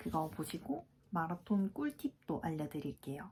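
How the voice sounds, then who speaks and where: A woman speaks at a fairly slow pace with lively intonation. Her tone is dark and mellow and somewhat breathy. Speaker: fitness vlogger. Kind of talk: casual vlog talk.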